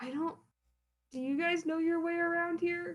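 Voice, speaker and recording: A female-sounding voice performs a put-on character voice at extremely high pitch. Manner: timid, unsure.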